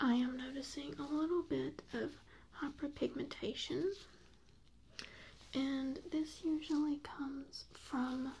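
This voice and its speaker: A soft-spoken woman with an American accent, high-pitched, in a calm, gentle tone with fairly even intonation, at a very slow pace with long, frequent pauses. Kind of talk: ASMR medical roleplay, soft spoken personal attention. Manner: soft-spoken, calm, gentle.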